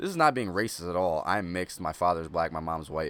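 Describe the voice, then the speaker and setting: The speaker is a man. He talks at a moderate pace, and his pitch shifts in an ordinary way. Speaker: gaming YouTuber. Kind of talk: casual commentary. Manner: halting.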